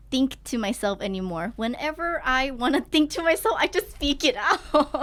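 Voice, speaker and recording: With a Thai accent, a woman speaks in a high, bright and sharp voice whose pitch swings very widely. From Thailand. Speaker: student and singer. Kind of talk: casual chat.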